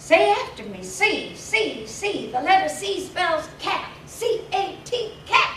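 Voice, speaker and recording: In a put-on character voice, a woman speaks shrilly at an extremely high pitch with very wide pitch swings and a fairly slow pace, with a slight echo and clear background noise. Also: hardly any pauses. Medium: read story. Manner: shrill, rigid.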